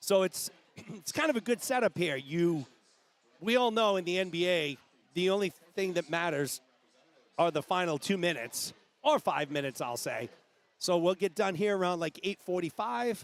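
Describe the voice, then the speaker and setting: Loud and with lively intonation, a man with a high pitch speaks with long, frequent pauses on a very clean recording with a silent background. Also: moderate pace. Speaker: swim meet livestream commentator. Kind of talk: live commentary. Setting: livestream from swimming venue. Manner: animated.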